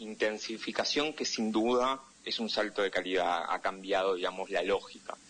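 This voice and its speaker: A man with a Buenos Aires accent, fairly low-pitched, with a bright, sharp tone, ordinary pitch variation and a moderate pace. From Argentina, Buenos Aires. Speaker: political analyst and correspondent. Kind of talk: interview.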